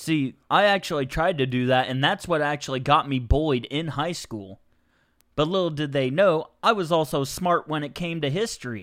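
The recording is very clean with a silent background as a man with a fairly high pitch talks at a moderate pace in a plain, everyday voice, with ordinary pitch variation. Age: 20s. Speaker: guest, childhood friend of host. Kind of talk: casual chat. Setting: host's home.

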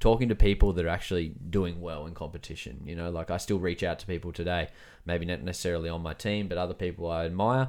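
Speaking very fast with an Australian accent, a man with a very deep, low pitch comes through on a very clean recording with a silent background. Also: ordinary pitch variation. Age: 30s. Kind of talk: casual chat.

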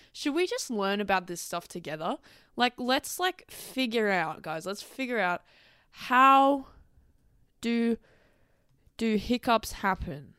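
In a bright, sharp tone, the speaker talks at a very slow pace with long, frequent pauses and very wide pitch swings, the sound dry and close with no echo. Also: woman, fairly high pitch for a woman, very clean recording, silent background. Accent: Australian. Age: 20s. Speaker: podcast host and dancer. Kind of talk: casual solo monologue.

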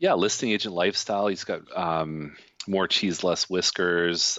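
Speaking at a moderate pace, a man with a Canadian accent has a very deep, low pitch and a monotone, flat intonation. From Canada, Toronto. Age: 40s. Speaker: real estate agent. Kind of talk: casual interview. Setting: video call.

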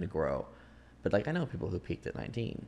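Against a quiet background, a man speaks at a fairly quick pace in a dark, mellow tone. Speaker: podcast host. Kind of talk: casual chat.

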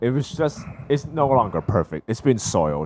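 An animated man with an American accent, his pitch swinging very widely. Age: 20s. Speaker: podcast co-host; HVAC worker and technical school teacher. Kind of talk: casual chat. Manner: animated, laughing often.

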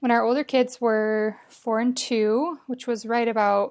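A woman with an American accent speaks at a fairly high pitch in a normal speaking voice, her intonation fairly even. The recording is very clean, with a silent background. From Colorado. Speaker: stay-at-home mom and caregiver. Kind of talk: interview storytelling.

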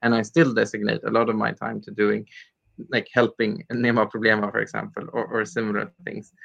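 Speaking with a Swedish accent is a man. He goes at a fairly quick pace. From Sweden, Stockholm area. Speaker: nonprofit leader. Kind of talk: interview.

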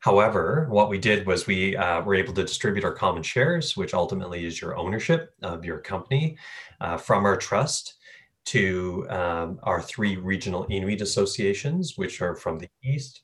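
In a Labrador accent, a man with a fairly low pitch talks at a moderate pace with lively intonation. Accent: Labrador Canadian English. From Labrador, Canada. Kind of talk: interview.

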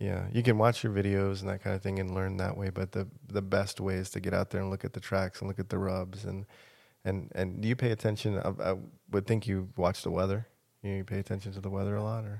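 Over a silent background in a very clean recording, a man talks at a very fast pace with a fairly low pitch and monotone, flat intonation. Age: 50s. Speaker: podcast host. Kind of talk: casual interview. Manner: halting.

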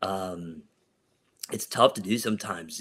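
A man speaks in a normal speaking voice. His pace is moderate and his intonation fairly even. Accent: American. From Ohio, US. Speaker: real estate investor and pastor. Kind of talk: interview.

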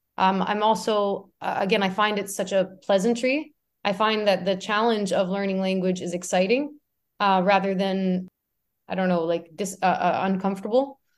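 A woman with a Canadian accent, medium pitch, fairly even intonation, an unremarkable speaking voice and a moderate pace. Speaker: artist. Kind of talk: casual interview. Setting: video call.

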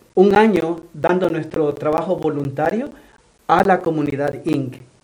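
This man's pitch is high, with ordinary variation. He talks at a fairly slow pace. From El Salvador. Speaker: nonprofit executive director. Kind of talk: radio interview.

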